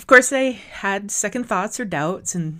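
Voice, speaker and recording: The speaker has an Upper Midwest accent. The recording is very clean, with a silent background. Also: woman. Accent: Upper Midwest American. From South Dakota. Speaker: podcast host. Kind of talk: scripted podcast intro monologue.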